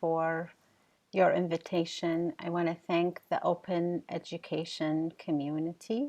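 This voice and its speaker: In an Arabic accent, a woman speaks at a very slow pace with a fairly low pitch. The recording is very clean, with a silent background. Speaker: professor and keynote speaker. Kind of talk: keynote lecture.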